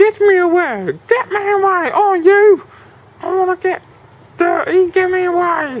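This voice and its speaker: The speaker uses a put-on character voice. Its pitch is extremely high. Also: moderate pace. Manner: panicked, pleading.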